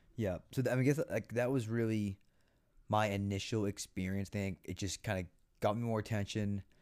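A man with an American accent and a normal speaking voice, fairly low in pitch, at a fairly quick pace, on a very clean recording with a silent background. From Massachusetts, US. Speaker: podcast co-host. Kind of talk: casual chat.

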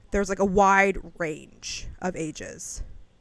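Very slow is the pace at which this woman talks. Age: 30s. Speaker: podcast co-host. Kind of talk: casual chat.

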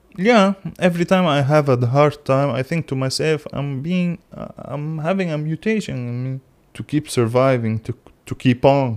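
The sound is dry and close with no echo as a man speaks at a moderate pace, fairly high in pitch with ordinary pitch variation. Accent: Arabic. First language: Arabic. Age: young. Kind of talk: casual philosophical conversation. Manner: halting.

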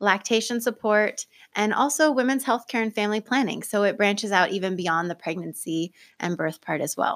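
A woman talks at a moderate pace and a medium pitch in an unremarkable speaking voice. The recording is very clean, with a silent background. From US Pacific Northwest, Oregon (Lane County). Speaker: certified nurse midwife, birth center director. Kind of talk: casual interview. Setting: podcast studio.

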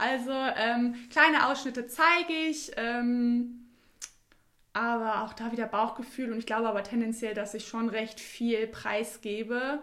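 A woman speaks at a fairly slow pace with fairly even intonation. Her tone is bright and sharp. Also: fairly high pitch for a woman. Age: 20s. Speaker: clothing label founder. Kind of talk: interview.

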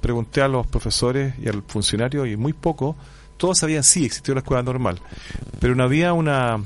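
A man speaks at a medium pitch with ordinary pitch variation. He has a plain, everyday voice and keeps a moderate pace. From Chile, Curicó. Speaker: history professor. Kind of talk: radio interview. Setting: radio studio.

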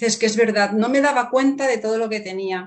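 A woman's unremarkable speaking voice, fairly high in pitch, with fairly even intonation. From Spain. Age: 50s. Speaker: writer. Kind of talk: interview.

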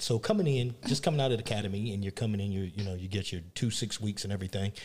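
Someone speaks at a very fast pace with ordinary pitch variation and a somewhat breathy sound. The recording is very clean, with a silent background. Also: man. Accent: American. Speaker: podcast co-host. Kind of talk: interview.

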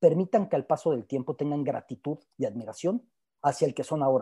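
A man talks at a fairly quick pace in a dark, mellow tone, recorded with a dry, close sound and no echo. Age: 40s. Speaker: sports journalist. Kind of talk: panel discussion.

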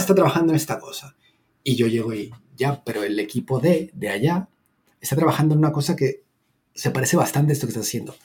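A man with a fairly high pitch, somewhat breathy, with a dark, mellow tone, a Latin American accent, lively intonation and a very fast pace. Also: big swings in loudness. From Mexico. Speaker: content designer. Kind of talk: casual chat.

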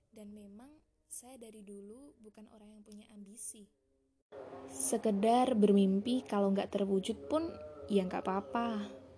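At a moderate pace, a woman talks at a medium pitch with ordinary pitch variation. Her loudness shifts in big swings. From East Java, Trenggalek. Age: young. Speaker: podcaster. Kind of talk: personal monologue. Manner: halting.

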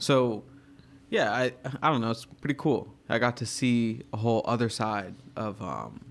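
A man with an American accent, medium in pitch, with ordinary pitch variation and vocal fry. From Virginia, US. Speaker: artist. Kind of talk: casual chat.

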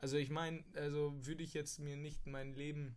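Speaking in a monotone with flat intonation, a man keeps his pitch fairly high. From Münster, northwestern Germany. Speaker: podcaster. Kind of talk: casual monologue. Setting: small rented room abroad. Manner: casual, with filler sounds.

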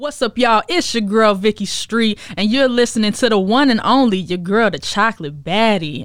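At a moderate pace and with hardly any pauses, a woman speaks at a fairly high pitch with lively intonation. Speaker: musician and event host, guest artist. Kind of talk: radio interview. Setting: radio studio.

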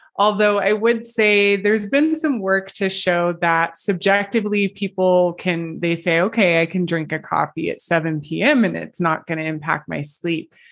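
Speaking in a normal speaking voice with an American accent, a woman of medium pitch keeps a moderate pace with ordinary pitch variation and hardly any pauses, over a quiet background. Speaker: sleep scientist. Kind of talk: interview.

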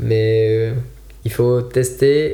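A man at medium pitch with fairly even intonation, in audible room echo. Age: 20s. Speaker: ultimate frisbee coach. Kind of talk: casual chat.

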